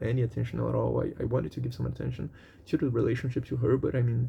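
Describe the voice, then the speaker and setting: A man is talking here. His speech carries a non-native accent. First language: not English. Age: 20s. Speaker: vlogger. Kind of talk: personal venting monologue. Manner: halting, with fillers and repetitions.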